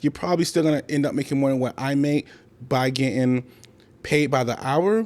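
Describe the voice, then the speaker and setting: A man speaks in a normal speaking voice at a fairly high pitch with ordinary pitch variation. His pace is fairly quick, on a very clean recording with a silent background. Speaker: rookie fuel hauler and trucking vlogger. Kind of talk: casual vlog tutorial. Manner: casual and conversational.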